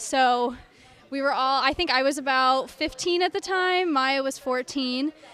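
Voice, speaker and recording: A woman speaks in a high pitch with an American accent. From US Northeast, central New York. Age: 20s. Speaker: luge athlete. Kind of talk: interview.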